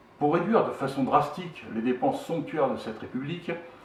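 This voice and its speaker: A man speaks with lively intonation. Noticeable background noise and audible room echo fill the recording. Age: 60s. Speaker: political movement co-founder. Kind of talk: political statement; self-introduction. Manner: formal.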